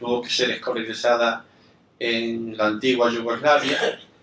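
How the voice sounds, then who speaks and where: A man's voice at medium pitch. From Spain. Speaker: event moderator. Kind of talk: formal introduction of a guest. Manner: halting, many fillers.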